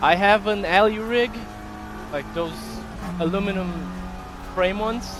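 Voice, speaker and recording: A man with a high voice speaks in a fairly even tone, with long, frequent pauses, noticeable background noise and audible room echo. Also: moderate pace. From Brazil. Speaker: sim racing streamer and coach. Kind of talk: casual live stream chat. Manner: halting, many fillers.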